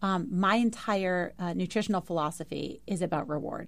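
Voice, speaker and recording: A woman with an American accent uses vocal fry at a medium pitch, with ordinary pitch variation and a moderate pace. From New York. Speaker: fitness entrepreneur. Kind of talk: casual chat.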